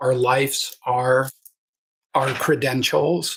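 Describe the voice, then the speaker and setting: Bright and sharp in tone, a man's medium-pitched voice carries vocal fry. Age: 60s. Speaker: health coach. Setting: livestream on webcam. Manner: enthusiastic.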